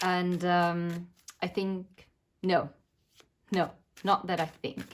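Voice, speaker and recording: With a non-native accent, a woman speaks very slowly in a fairly low, monotone, flat voice. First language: not English. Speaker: tarot reader. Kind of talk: tarot reading. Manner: hesitant, many filler words.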